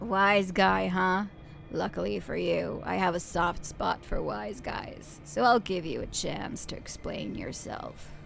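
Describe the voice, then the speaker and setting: Over clear background noise, a woman uses a raspy, put-on character voice at a fairly slow pace. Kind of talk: noir detective talk. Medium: game stream. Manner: hard-boiled, gruff.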